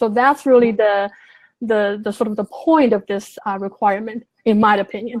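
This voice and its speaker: Speaking at a moderate pace in a Chinese accent, a woman keeps her fairly high pitch on a fairly even intonation. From Sichuan, China. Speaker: translator. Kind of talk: interview answer.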